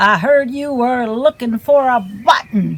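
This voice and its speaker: A put-on character voice that sounds female, pitched fairly high and delivered at a fairly slow pace. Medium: read story.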